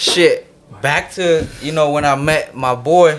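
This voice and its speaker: Here a man with an American accent talks at a fairly high pitch, showing ordinary pitch variation. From US West Coast, San Jose Bay Area. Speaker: rapper. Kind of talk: casual chat.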